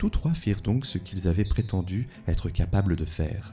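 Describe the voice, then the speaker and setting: Music sits in the background while the talking unfolds fairly slowly. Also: man. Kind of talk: sleep story reading of folk tales, ASMR. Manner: soft-spoken, calm.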